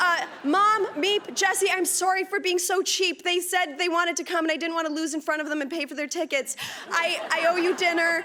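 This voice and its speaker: A woman's extremely high, bright, sharp voice is raised and projected. She keeps a moderate pace and fairly even intonation. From Canada, immigrated from Punjab at age four. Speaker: actor. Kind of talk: award acceptance speech. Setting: stage with audience. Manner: halting.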